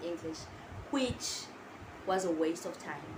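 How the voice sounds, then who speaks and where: A woman with an Eswatini accent talks at a fairly quick pace with lively intonation. Audible room echo and noticeable background noise are present. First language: Siswati. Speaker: international student vlogger. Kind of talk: casual vlog talk to camera. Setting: sitting down, filming to camera.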